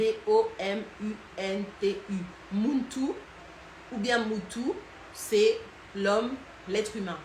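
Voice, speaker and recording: A woman speaks very slowly in a fairly high pitch, with long, frequent pauses. Her intonation is fairly even, and background noise is noticeable. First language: Lingala (speaking French). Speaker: online culture and history educator. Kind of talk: live stream talk. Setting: Instagram live. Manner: hesitant, many fillers.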